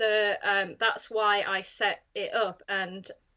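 The speaker is a woman. She has a northern English accent. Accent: flat northern English. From north of England. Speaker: podcast roundtable guest, fan of the show.

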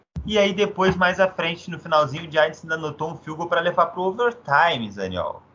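Speaking at a fairly quick pace, a man has a high pitch and ordinary pitch variation. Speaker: sports podcast host. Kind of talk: casual sports chat.

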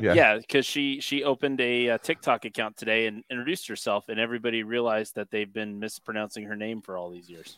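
Hardly pausing, a man races along at a very fast pace in a medium pitch, with ordinary pitch variation and big swings in loudness. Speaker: podcast producer. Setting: piped in remotely to the show.

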